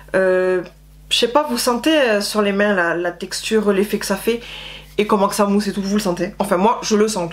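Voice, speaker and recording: The speech comes at a moderate pace amid noticeable background noise. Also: woman. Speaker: beauty vlogger. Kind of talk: casual product review. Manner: breathless, hesitant with euh.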